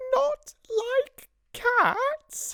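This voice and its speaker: This is a put-on character voice at an extremely high pitch. It sounds shrill. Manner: passionate, indignant.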